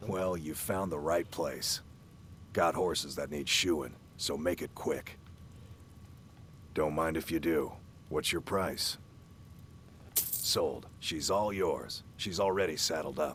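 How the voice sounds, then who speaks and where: A man speaks at a fairly slow pace in a put-on character voice, very deep and raspy, with long, frequent pauses over clear background noise. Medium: video game. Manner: curt, impatient.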